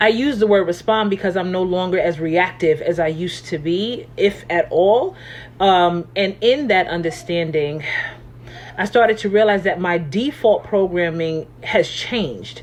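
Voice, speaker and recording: A woman's medium-pitched voice at a fairly slow pace with ordinary pitch variation, over noticeable background noise. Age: 40s. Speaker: life coach. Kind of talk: motivational talk. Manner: casual, conversational.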